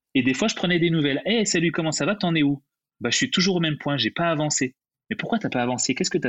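A man with a fairly high voice rattles along at a very fast pace. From Paris suburbs (Seine-Saint-Denis), Guadeloupean roots. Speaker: music composer. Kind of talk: casual interview.

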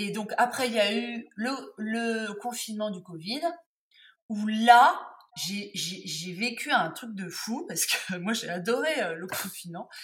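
Speaking very slowly with lively intonation, a woman with a fairly high pitch lets her loudness swing widely. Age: 50s. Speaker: textile artisan and tarot accessory maker. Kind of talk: interview.

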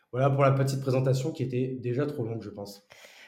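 A man's medium-pitched voice in monotone, flat intonation. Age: 30s. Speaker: entrepreneur. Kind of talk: casual interview conversation. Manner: hesitant, many fillers and repetitions.

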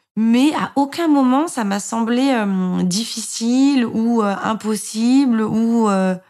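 The recording is very clean with a silent background. Pitch variation is ordinary. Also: woman. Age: 30s. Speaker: mother sharing breastfeeding experience. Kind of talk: personal testimony. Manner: hesitant, many fillers and repetitions.

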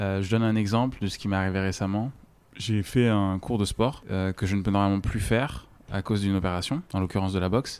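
A man with an ordinary speaking voice, fairly low in pitch, with fairly even intonation and a fairly quick pace. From French mountain region. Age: 20s. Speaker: freelancer with an eye disease. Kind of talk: personal testimony interview.

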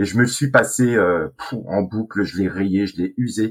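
At a fairly slow pace, a man talks in a medium pitch with ordinary pitch variation, an unremarkable speaking voice. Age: 50s. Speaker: sales trainer. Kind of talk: casual chat.

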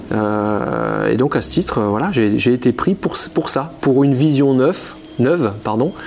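There is noticeable noise in the background. Over it, a man's voice rises and falls with ordinary variation. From Champagne, France. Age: 40s. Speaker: insurance agent. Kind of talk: interview. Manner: halting, many repetitions.

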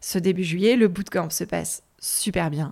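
On a very clean recording with a silent background, a woman with a fairly low pitch speaks at a fairly slow pace with fairly even intonation. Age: 40s. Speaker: podcaster, former marketing director. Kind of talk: unscripted solo monologue. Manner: halting, many repetitions and fillers.

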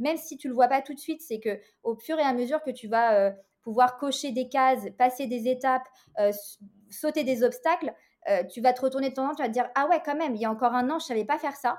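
Fairly quick speech from a woman, high in pitch and ordinary in pitch variation. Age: 30s. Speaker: interior decorator and business mentor. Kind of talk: interview.

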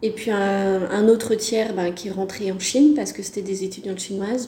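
Amid noticeable background noise and audible room echo, a woman speaks at a medium pitch with monotone, flat intonation. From France, Brittany. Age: 30s. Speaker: French language teacher, expatriate. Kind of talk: casual interview testimony. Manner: hesitant, with fillers.

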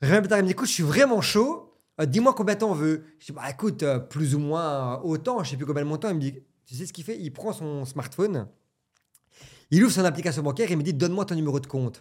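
Captured on a very clean recording with a silent background, a man talks very fast in a fairly high pitch, with lively intonation and big swings in loudness. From Belgium. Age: 30s. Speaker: entrepreneur. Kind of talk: casual chat.

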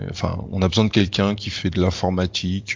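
A man talks at a moderate pace in a very deep, low pitch. Noticeable background noise runs behind him. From France. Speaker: engineer living abroad. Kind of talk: interview. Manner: halting.

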